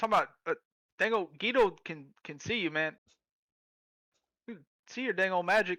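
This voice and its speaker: A man does a put-on character voice, drawling at a high pitch with ordinary pitch variation and big swings in loudness. His pace is moderate with long, frequent pauses, and the sound is dry and close with no echo. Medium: actual play. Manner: laid-back, drawling, says "man".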